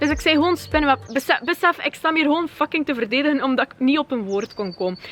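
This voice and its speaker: An animated woman with a West Flemish accent speaks at a very fast pace, her high pitch showing lively intonation, in a dry, close sound with no echo yet with noticeable background noise. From West Flanders, Kortrijk. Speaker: YouTuber. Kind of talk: vlog rant. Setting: outdoors.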